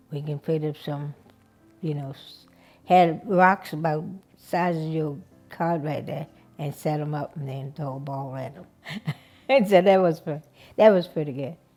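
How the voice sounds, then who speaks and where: A woman with a very deep, low pitch speaks at a moderate pace with ordinary pitch variation and big swings in loudness. Long, frequent pauses break her speech, and music plays in the background. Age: 80s+. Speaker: oral history interviewee. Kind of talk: oral history interview. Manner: halting, with many fillers.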